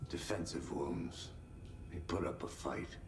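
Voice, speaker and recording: A man puts on a character voice at a fairly slow pace, with loud background noise around him. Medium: video game. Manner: deadpan, dry.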